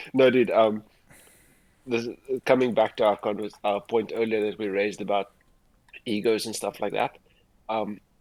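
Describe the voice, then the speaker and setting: A man with a South African accent talks at a moderate pace in a fairly low pitch. His intonation is monotone and flat, broken by long, frequent pauses. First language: Afrikaans. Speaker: livestream host, advertising creative. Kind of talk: casual livestream chat. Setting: livestream.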